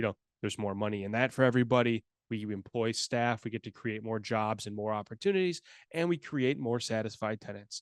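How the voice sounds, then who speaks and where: Against a quiet background with a dry, close sound and no echo, a man with an American accent talks at a very fast pace with ordinary pitch variation. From US Midwest, Chicago. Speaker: customer service consultant. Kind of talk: webinar presentation.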